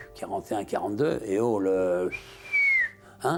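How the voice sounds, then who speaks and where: A man talks at an even, middling speed while music runs behind him. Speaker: war veteran. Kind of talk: testimony. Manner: halting.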